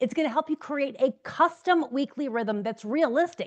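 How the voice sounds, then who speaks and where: A loud woman with an American accent talks at a fairly quick pace with lively intonation over a quiet background. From New Jersey, US. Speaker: business coach. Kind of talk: direct-to-camera tutorial. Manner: fast.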